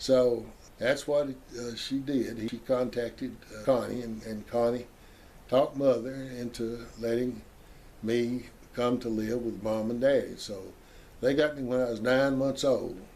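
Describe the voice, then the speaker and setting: A man's dark, mellow, medium-pitched voice in a Southern US accent, flat and monotone, fairly slow with long, frequent pauses and big swings in loudness. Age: 80s+. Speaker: family history storyteller. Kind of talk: oral history testimony. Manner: halting.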